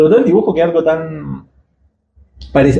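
A man speaks in a somewhat breathy voice. His pitch moves with ordinary variation. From Chile, Santiago. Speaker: illustrator. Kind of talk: interview. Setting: recording booth at a festival.

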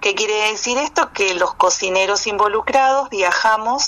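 Noticeable background noise runs beneath a woman speaking at a fairly slow pace. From Argentina, Chaco. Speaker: cook and restaurant owner. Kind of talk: interview.

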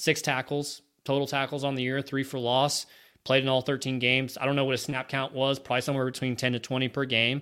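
A man with a bright, sharp tone speaks very fast at a medium pitch with monotone, flat intonation in a very clean recording with a silent background. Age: 30s. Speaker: sports podcast co-host. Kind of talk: casual chat.

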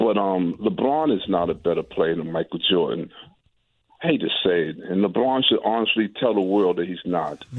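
A man talks in an ordinary speaking voice at a fairly low pitch. His pace is moderate and his intonation lively. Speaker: caller. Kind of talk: casual chat. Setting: phone call.

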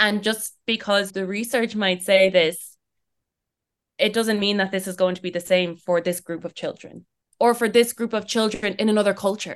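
With an Irish accent, a woman speaks at medium pitch and a moderate pace in a flat, monotone way. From Ireland. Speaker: early childhood educator. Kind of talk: interview.

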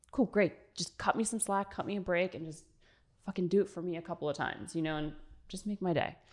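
At a very fast pace, a woman with a fairly low pitch speaks with ordinary pitch variation. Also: very clean recording, silent background. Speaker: fitness influencer. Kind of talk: casual chat.

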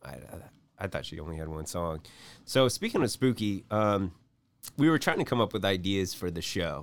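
Moderate pace with long, frequent pauses, big swings in loudness and lively intonation in an American accent, on a very clean recording with a silent background. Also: man, very deep, low pitch for a man. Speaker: comedy podcast co-host. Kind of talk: comedic casual banter. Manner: jokey, laughs often.

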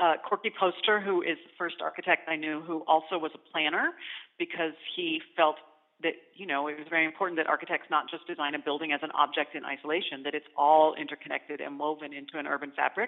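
Very fast and with big swings in loudness, a woman with an American accent speaks at a very deep, low pitch and fairly even intonation. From Arizona. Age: 40s. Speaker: architect. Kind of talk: interview. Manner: halting, with many fillers.

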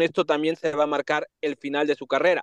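A man with an unremarkable speaking voice and a fairly high pitch talks at a fairly quick pace. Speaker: club beat reporter. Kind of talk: radio sports report.

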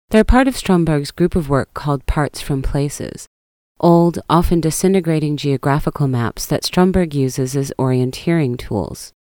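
In an American accent, a woman with a very deep, low voice and a dark, mellow tone talks at a moderate pace with ordinary pitch variation, on a very clean, dry, close recording with a silent background and no echo. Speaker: art podcast host. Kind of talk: scripted narration.

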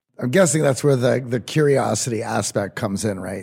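Vocal fry runs through this man's fairly quick speech. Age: 40s. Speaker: podcast co-host. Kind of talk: interview.

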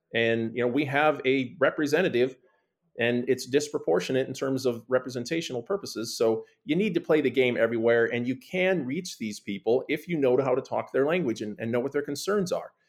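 At a fairly quick pace, a man with an American accent and a normal speaking voice talks in a medium pitch with ordinary pitch variation. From US Midwest, small town. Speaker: political candidate, retired military lawyer. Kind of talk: interview.

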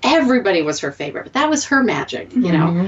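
Over noticeable background noise, a woman's voice moves through very wide pitch swings. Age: 40s. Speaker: podcast host. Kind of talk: casual chat.

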